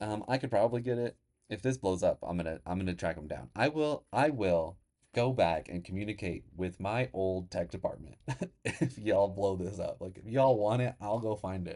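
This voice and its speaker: Here a man speaks with a dark, mellow tone at a fairly low pitch. His intonation is lively and his pace moderate. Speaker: teacher and podcast host. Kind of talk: casual solo podcast talk. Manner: halting, many restarts; loud at moments.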